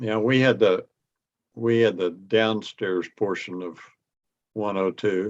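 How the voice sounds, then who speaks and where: A man's very slow speech, with long, frequent pauses and fairly even intonation. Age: old. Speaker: retired engineer, amateur radio operator. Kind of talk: casual chat. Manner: halting.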